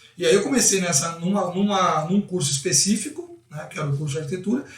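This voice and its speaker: Speaking at a very fast pace, a man with a high-pitched voice is heard over noticeable background noise. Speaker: football coach. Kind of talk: interview.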